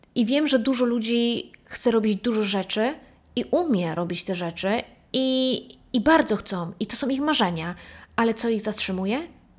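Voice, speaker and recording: This woman has a fairly high pitch, lively intonation and an animated tone at a moderate pace. The recording is very clean with a silent background. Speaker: solo podcast host. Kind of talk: casual monologue.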